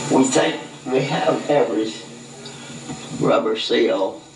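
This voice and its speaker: Background noise is noticeable and room echo is audible. A man talks through both. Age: 80s+. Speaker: garage owner and truck parts dealer. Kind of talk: casual interview storytelling.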